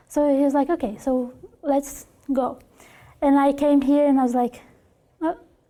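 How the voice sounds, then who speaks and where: A woman with a Brazilian Portuguese accent speaks at a moderate pace with a high pitch, a dark, mellow tone, monotone, flat intonation, very even loudness, and long, frequent pauses. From Brazil, Curitiba. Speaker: former au pair. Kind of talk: interview. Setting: classroom. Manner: halting.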